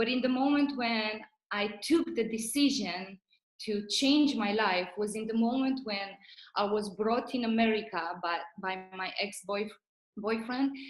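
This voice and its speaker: A woman speaks at a fairly slow pace with a Romanian accent, her voice somewhat breathy and fairly high. Her pitch varies in an ordinary way, and the room echo is audible. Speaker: network marketing leader. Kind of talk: motivational talk.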